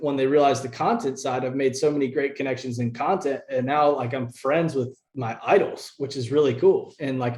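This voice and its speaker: At a moderate pace and with hardly any pauses, a man speaks with fairly even intonation and fairly high pitch. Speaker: angler and content creator. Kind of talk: interview. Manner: halting, self-correcting.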